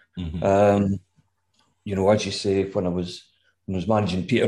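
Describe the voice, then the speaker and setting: A man in a west of Scotland accent, with a dark, mellow tone, against a quiet background. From west of Scotland, Gourock. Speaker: music manager. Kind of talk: casual interview chat.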